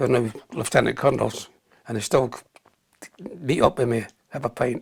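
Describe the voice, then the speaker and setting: A man speaks with a Scottish accent at a fairly quick pace. His voice is somewhat breathy. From Scotland. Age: 80s+. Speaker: army veteran. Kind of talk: interview.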